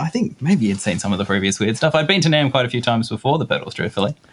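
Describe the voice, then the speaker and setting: Talking at a very fast pace with hardly any pauses, a man swings his pitch very widely. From northern tropical rural Australia. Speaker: effects pedal designer. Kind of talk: casual chat. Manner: hesitant, many fillers.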